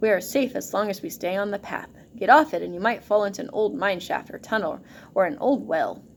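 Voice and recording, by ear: The voice is reading aloud in a natural voice. Its intonation is lively.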